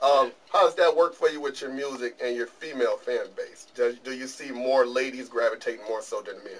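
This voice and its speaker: With an American accent, a man talks at a fairly quick pace with hardly any pauses and big swings in loudness, over light background noise. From Detroit, US. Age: middle-aged. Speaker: interview show host. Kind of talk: interview. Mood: relaxed, friendly. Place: studio. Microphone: camera far.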